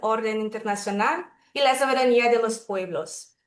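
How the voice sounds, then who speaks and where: A woman with a Brazilian accent talks at a moderate pace with ordinary pitch variation. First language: Portuguese (speaking Spanish). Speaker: webinar moderator. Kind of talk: formal webinar moderation. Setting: video call.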